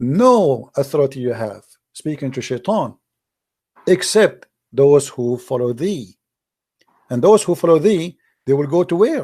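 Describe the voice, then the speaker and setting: Speaking fairly slowly with long, frequent pauses, a man with a non-native accent uses a fairly high, dark, mellow voice and lively intonation. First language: not English. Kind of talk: heated debate. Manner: animated.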